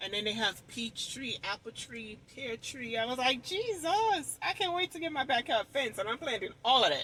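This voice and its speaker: A moderate pace with hardly any pauses. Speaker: lifestyle vlogger. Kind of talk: casual vlog talk. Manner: loud.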